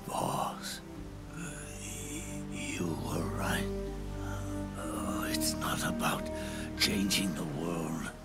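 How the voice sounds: Whispering in a put-on character voice with vocal fry, a man speaks at a very slow pace with long, frequent pauses over clear music in the background.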